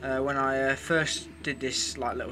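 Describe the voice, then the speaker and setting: A man speaks at a fairly quick pace in a British accent. His tone is bright and sharp, and his intonation stays fairly even. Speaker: hobbyist engine restorer. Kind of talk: tutorial. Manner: fast. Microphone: poor camera.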